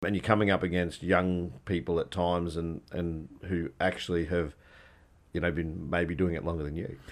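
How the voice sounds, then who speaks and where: A man with an Australian accent speaks in a flat monotone at a very deep, low pitch. The background is quiet. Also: moderate pace. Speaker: podcast host. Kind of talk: interview.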